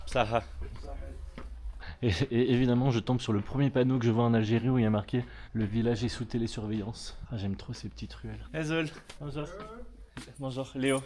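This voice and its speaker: A man speaks at a moderate pace and medium pitch in a dark, mellow tone, with fairly even intonation. His loudness swings a lot, and his pauses are long and frequent. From France (Bordeaux). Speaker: travel vlogger. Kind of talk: travel vlog. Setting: outdoors. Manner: casual, with frequent hesitations.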